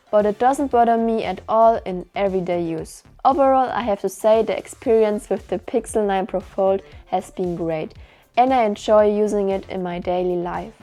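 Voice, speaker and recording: With music in the background, a woman with a German accent speaks at a moderate pace and medium pitch, using ordinary pitch variation. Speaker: tech reviewer. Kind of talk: product review.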